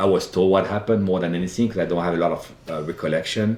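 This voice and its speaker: A man with a slight French accent speaks at a very deep, low pitch. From France, Loire Valley. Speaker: wine buyer. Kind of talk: interview storytelling. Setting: live in-person show in Napa Valley.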